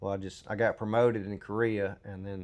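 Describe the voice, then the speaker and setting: A man with a Southern US accent, fairly low pitch and monotone, flat intonation against a quiet background. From US South, Mississippi. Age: 40s. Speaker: military veteran. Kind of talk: testimony. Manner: halting, many fillers.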